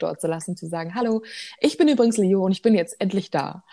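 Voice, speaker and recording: Her voice carries a dark, mellow tone. This woman's pitch rises and falls in an ordinary way. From Germany, northern Hesse (Edersee). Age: 20s. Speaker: singer. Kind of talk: interview. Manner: hesitant with fillers.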